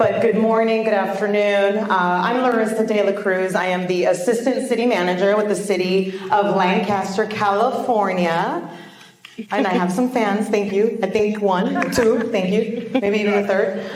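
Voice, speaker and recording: A woman at a moderate pace with fairly even intonation and very even loudness, amid audible room echo and noticeable background noise. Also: medium pitch for a woman. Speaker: city government official. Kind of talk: conference panel talk. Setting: conference session with audience.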